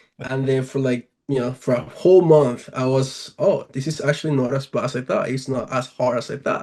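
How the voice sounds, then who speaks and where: At a moderate pace with hardly any pauses, a man speaks at medium pitch in a somewhat breathy, dark, mellow tone with fairly even intonation. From Venezuela. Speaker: professional baseball player. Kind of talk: podcast interview. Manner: hesitant, many fillers.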